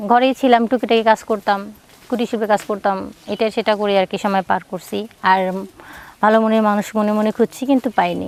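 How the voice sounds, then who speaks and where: Recorded dry and close with no echo, a woman has an unremarkable speaking voice with a fairly high pitch. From Bangladesh, Dinajpur. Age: 30s. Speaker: divorcee seeking marriage. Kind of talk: interview.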